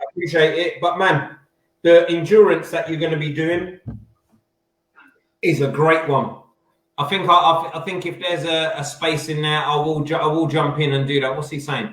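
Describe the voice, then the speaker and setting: A man with a fairly high voice speaks at a moderate pace, leaving long, frequent pauses, with audible room echo around him. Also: fairly even intonation. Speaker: livestream co-host of food challenge show. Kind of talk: casual chat. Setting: live video stream.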